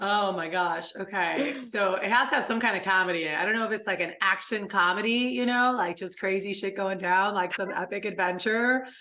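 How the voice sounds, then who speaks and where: A woman talks at a fairly quick pace with an animated tone, medium pitch, ordinary pitch variation and hardly any pauses, over noticeable background noise. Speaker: podcast co-host, entrepreneur. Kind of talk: casual chat. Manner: fast; animated, excitable.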